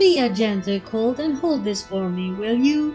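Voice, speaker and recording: A female-sounding put-on character voice, fairly high in pitch at a moderate pace, with clear music in the background. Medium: read story. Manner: shrill, piercing.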